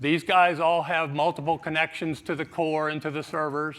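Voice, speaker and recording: A man with a fairly high pitch and a bright, sharp tone speaks at a moderate pace. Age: 60s. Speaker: IT manager. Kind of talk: conference talk.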